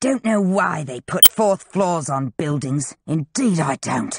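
A man puts on a character voice, pitched high and swinging very widely up and down, at a fairly slow pace.

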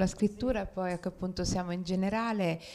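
A woman at a fairly quick pace, monotone and flat, with light background noise. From Rome; Italy. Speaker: novelist; guest. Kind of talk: author talk. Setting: library event with audience. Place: hall. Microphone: handheld.

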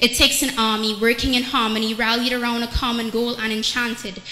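A high-pitched woman at a moderate pace, with light background noise and audible room echo. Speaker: spoken word poet. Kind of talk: spoken word poetry performance. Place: church. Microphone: handheld.

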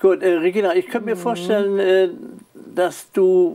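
A man with a high pitch, speaking fairly slowly. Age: 70s. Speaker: talk show host. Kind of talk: interview; show outro. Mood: relaxed, friendly. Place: studio. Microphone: lapel.

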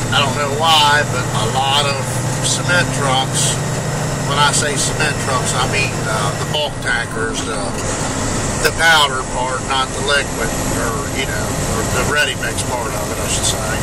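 Long, frequent pauses break up the speech over loud background noise. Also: fairly slow pace. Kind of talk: casual vlog chat. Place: car. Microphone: phone near.

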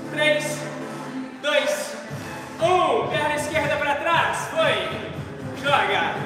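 Very slow, monotone delivery with flat intonation, strong room echo and clear music in the background. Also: man, extremely high pitch for a man. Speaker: fitness instructor. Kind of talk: workout coaching cues. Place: gym.

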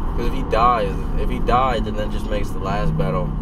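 Loud background noise runs under a man's voice, which sounds dry with no echo. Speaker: vlogger. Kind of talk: casual vlog chat. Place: car. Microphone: phone near.

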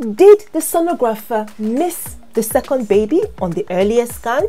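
A woman talks at a fairly slow pace while faint music sounds in the background. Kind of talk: educational explainer. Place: home room.

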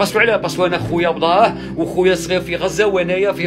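A man talks at a high pitch. Clear music plays in the background. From Algeria. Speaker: emigrant son returning home. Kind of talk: emotional personal video talk. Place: home room. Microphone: phone near.

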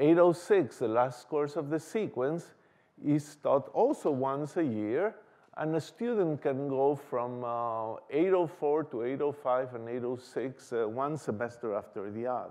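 Very slowly, a man speaks over a quiet background. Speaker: lecturer. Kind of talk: lecture. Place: hall.

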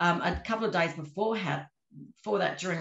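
A woman speaks with vocal fry, and the room echo is audible. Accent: Australian. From Australia. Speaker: magician and escape artist; interviewee. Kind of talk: interview. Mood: warm, modest, chatty. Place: home room. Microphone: video call.

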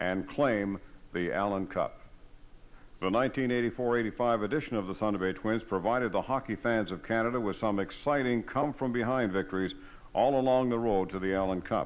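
At a moderate pace, a man with a normal speaking voice talks at medium pitch with ordinary pitch variation. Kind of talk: hall-of-fame documentary narration, scripted. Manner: formal, even-paced; measured, authoritative recounting.

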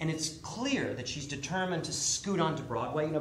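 A man with a fairly high voice is recorded with audible room echo and light background noise. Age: 50s. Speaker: author. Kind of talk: storytelling performance. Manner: animated. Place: stage.

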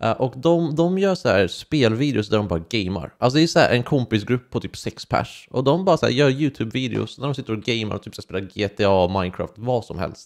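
A man at a moderate pace, with very wide pitch swings and hardly any pauses, against a quiet background. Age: 20s. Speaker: YouTuber. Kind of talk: personal testimony vlog. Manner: halting. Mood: personal, reflective storytelling. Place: home room. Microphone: studio mic.

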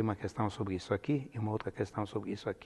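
Somewhat breathy and fairly low, a man's voice carries an Italian accent and ordinary pitch variation. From Italy, Piedmont. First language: Italian (speaking Portuguese). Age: 70s. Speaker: retired linguistics professor. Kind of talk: oral history interview. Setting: filmed interview. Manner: hesitant, many fillers. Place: studio. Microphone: lapel.

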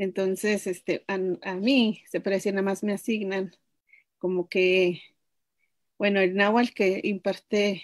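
With a Mexican accent, a woman speaks at a fairly slow pace in a flat, monotone intonation, leaving long, frequent pauses against a quiet background. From Mexico, Chicontepec, Veracruz; Veracruz. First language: Nahuatl (speaking Spanish). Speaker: language teacher. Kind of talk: interview. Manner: halting. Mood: friendly, smiling. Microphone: video call.

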